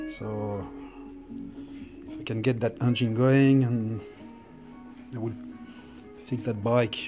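Clear music plays behind a man with a Swiss French accent. He speaks at a fairly slow pace with fairly even intonation. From French-speaking Switzerland. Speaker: motorcycle restorer. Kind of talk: casual talk to camera. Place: garage. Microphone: phone near.

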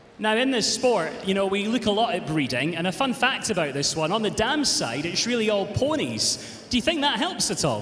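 A man speaks with a high pitch, an animated tone and very wide pitch swings. His loudness stays very even at a moderate pace with hardly any pauses, over noticeable background noise. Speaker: show jumping commentator. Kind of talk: live commentary. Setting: arena with audience.

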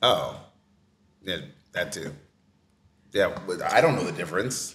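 A man speaks in an animated tone. His pace is moderate. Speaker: podcast host. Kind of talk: casual chat. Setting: on location at an art fair event. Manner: animated, joking. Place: home room. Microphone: studio mic.

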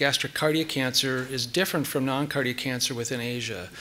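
Very fast pace with fairly even intonation. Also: man. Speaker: presenter. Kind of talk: lecture. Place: hall.

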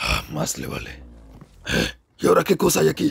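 A man performs a raspy put-on character voice. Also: moderate pace. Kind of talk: comic overacting. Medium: fan dub. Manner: menacing, mocking.

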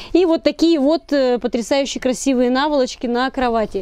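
A woman speaks at a moderate pace in a high voice with an animated tone. The sound is dry, with no echo. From Russia, Tyumen; Russia. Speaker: video blogger. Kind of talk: product review vlog; casual vlog chat, product review. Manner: chatty, animated. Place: home room. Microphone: camera far.

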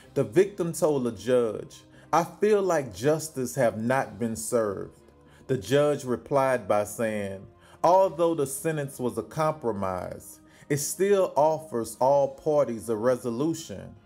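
Over faint music in the background, a man talks at a very slow pace. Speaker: news commentator. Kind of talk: commentary. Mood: indignant, critical. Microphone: phone near.

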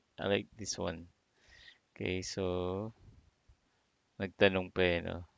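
Very deep and low, a man's voice stays monotone and flat at a fairly slow pace, with long, frequent pauses. The sound is dry with no echo, and the background is quiet. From Philippines. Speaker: digital marketing instructor. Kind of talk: tutorial. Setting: live stream screen share. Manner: halting, many fillers.

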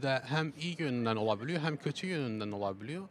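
A man's lively intonation, with a dry sound free of echo and light background noise. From Belgium. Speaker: amateur theatre actor. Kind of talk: street interview. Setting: outdoors in a city square. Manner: halting. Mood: calm, reflective. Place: open country. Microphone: handheld.

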